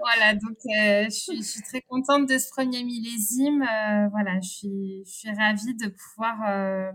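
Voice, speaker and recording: Very slowly, a woman speaks in a fairly high pitch. Her intonation stays fairly even. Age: 30s. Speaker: winegrower. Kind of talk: interview. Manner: halting.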